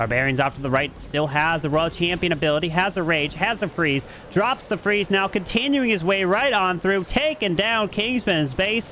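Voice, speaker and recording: With noticeable background noise, a man talks in a high voice with lively intonation. His loudness stays very even and he hardly pauses at all. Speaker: esports caster. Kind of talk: live commentary. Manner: fast; animated.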